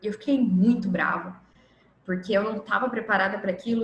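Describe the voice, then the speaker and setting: In a Minas Gerais accent, a woman of medium pitch talks at a moderate pace with fairly even intonation, amid noticeable background noise and audible room echo. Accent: mineiro Brazilian Portuguese. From Minas Gerais, Brazil. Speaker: workshop instructor. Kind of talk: online lecture.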